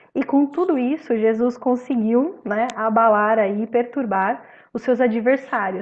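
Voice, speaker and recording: A woman with a plain, everyday voice, fairly high in pitch, with ordinary pitch variation at a fairly slow pace. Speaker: spiritist study group presenter. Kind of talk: religious study talk.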